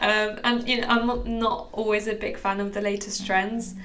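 Over noticeable background noise, a woman with a fairly high pitch speaks in a flat monotone. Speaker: fashion reporter. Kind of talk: casual interview chat. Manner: casual, hesitant with fillers.

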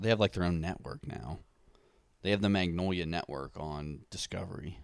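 On a very clean recording, silent background, a man speaks at a very deep, low pitch. He keeps a moderate pace with ordinary pitch variation. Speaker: podcast co-host. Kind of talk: casual chat. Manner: soft-spoken.

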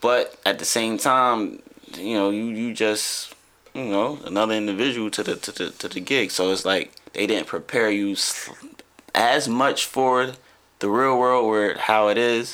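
This voice has a bright, sharp tone. It moves at a fairly slow pace. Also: man, medium pitch for a man, fairly even intonation. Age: 30s. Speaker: poet and vegan childhood friend of host. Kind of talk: casual chat.

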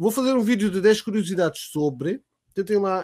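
The speaker talks at a moderate pace with a European Portuguese accent. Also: man. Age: 30s. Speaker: podcast host and streamer. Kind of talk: casual chat.

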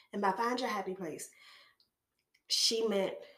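Ordinary pitch variation in a woman's speech, with room echo clearly audible. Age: 30s. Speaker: podcast host. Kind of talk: personal monologue. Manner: casual.

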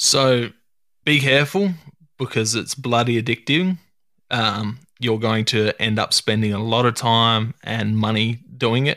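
In a very clean recording with a silent background and a dry, close sound with no echo, a man with an Australian accent speaks fairly slowly at a medium pitch, his tone bright and sharp and his loudness very even. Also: ordinary pitch variation. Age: 30s. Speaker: hunting podcast host. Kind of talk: casual chat.

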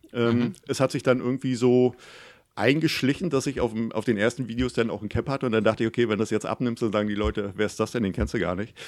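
Someone with a Mecklenburg accent speaks at a very fast pace in a very clean recording with a silent background. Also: man, medium pitch for a man, ordinary pitch variation. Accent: Mecklenburg regional dialect. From Mecklenburg, northeastern Germany (near Güstrow). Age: 40s. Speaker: photographer and YouTuber. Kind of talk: casual interview.

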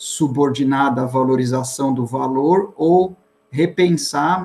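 Pitched fairly high, the man's voice moves at a very slow pace. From Bahia until age 5, then São Paulo. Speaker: historian and professor. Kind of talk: interview. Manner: halting.

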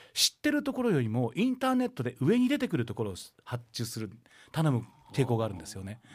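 The recording is very clean, with a silent background. On it, a man talks. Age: 50s. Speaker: Buddhist priest and radio host. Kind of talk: casual radio talk.

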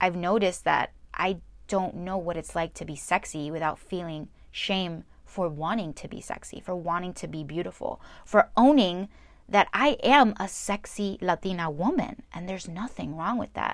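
A plain, everyday voice with ordinary pitch variation and big swings in loudness speaks at a moderate pace in a very clean recording with a silent background. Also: woman, medium pitch for a woman. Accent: American. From New Jersey. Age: 20s. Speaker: podcast host. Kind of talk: personal monologue.

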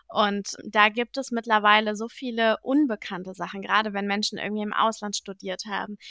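At a fairly high pitch, a woman talks fairly quickly with hardly any pauses, in a monotone, flat manner, her bright, sharp tone caught in a dry, close sound with no echo. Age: young. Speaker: podcast co-host. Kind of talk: casual chat.

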